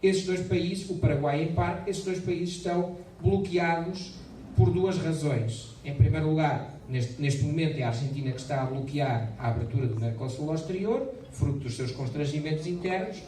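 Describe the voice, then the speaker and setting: A man with a European Portuguese accent speaks at a moderate pace, his fairly high pitch rising and falling in lively intonation. The recording has audible room echo and noticeable background noise. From Portugal. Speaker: business chamber president and lecturer. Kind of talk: lecture. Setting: club meeting with audience. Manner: hesitant, many fillers.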